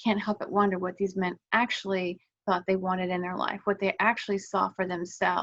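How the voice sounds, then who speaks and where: With hardly any pauses, a woman of medium pitch talks at a fairly quick pace in a fairly even intonation. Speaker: wellness vlogger. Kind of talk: casual talking-head explainer. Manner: fast; halting, many fillers.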